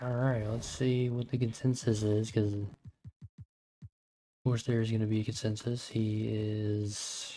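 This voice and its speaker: A soft-spoken man talks at a fairly slow pace with long, frequent pauses. His tone is dark and mellow, and his intonation is monotone and flat. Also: medium pitch for a man. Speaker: gaming streamer. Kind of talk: live gameplay commentary.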